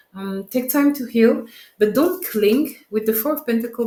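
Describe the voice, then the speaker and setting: A speaker with a French accent talks at a moderate pace. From France. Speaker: tarot reader. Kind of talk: tarot reading.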